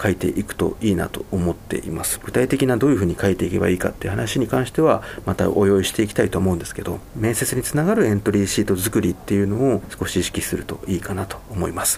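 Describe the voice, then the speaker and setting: Over noticeable background noise, a man talks at a very fast pace with hardly any pauses and ordinary pitch variation. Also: fairly low pitch for a man. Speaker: radio host. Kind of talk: radio talk.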